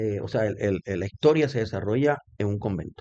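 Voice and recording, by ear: A man's dark, mellow voice comes at a fairly low pitch and fairly quick pace, with ordinary pitch variation.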